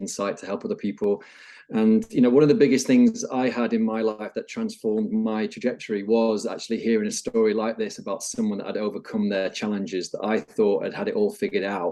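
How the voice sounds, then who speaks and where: Barely pausing, a man speaks at a fairly quick pace. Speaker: wellbeing coach and former rugby player. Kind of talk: podcast interview. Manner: calm, soft-spoken; relaxed.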